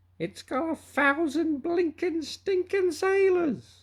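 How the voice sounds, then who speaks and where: Loud and shrill, a put-on character voice at an extremely high pitch moves along at a fairly slow pace. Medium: read story. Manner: loud, coarse pirate slang.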